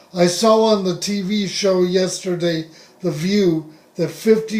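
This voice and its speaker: A man with a high pitch speaks very slowly in an American accent. Noticeable background noise runs behind him. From US West (Southern California). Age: 60s. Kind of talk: personal testimony monologue.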